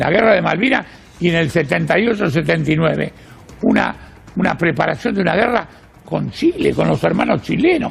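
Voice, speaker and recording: Amid noticeable background noise, a man speaks at a fairly quick pace with very even loudness. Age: 80s+. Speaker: journalist and political activist. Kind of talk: interview. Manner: halting.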